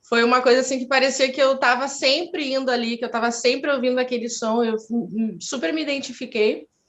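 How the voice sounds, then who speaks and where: A woman with a high pitch speaks at a fairly quick pace with hardly any pauses. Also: ordinary pitch variation. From southern Brazil, Porto Alegre. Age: 30s. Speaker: beauty pageant winner and cultural center founder. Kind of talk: interview.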